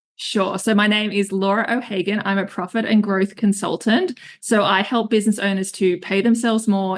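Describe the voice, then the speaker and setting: A woman with an Australian accent, medium pitch, monotone, flat intonation, and a moderate pace. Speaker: business consultant. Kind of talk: podcast interview.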